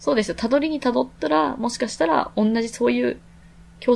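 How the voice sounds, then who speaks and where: Vocal fry marks a woman's fairly quick speech. Her pitch swings very widely. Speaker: podcast co-host. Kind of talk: casual chat.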